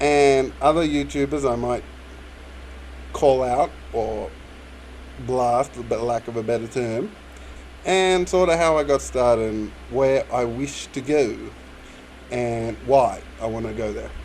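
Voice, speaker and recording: Very slowly and with long, frequent pauses, a man speaks at a medium pitch with ordinary pitch variation. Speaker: YouTuber. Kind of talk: Q&A monologue. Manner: halting.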